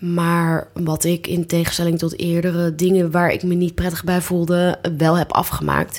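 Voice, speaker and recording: A woman speaks at a fairly slow pace and a medium pitch. She has an ordinary speaking voice. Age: 30s. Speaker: job platform founder, freelancer. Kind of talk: casual interview chat. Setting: home living room turned studio.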